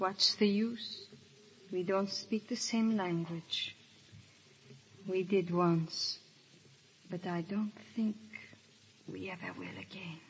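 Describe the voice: Using a put-on character voice, a woman speaks slowly at a fairly low pitch with a husky, rough edge, lively intonation, and long, frequent pauses.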